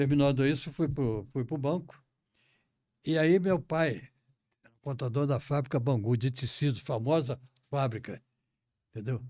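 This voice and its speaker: Fairly slow speech in a dark, mellow tone, broken by long, frequent pauses, with ordinary pitch variation, on a very clean recording with a silent background. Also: man, fairly high pitch for a man. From Brazil, Rio de Janeiro. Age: 90s. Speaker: retired central bank director and association founder. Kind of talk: interview, life story. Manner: halting, with repetitions.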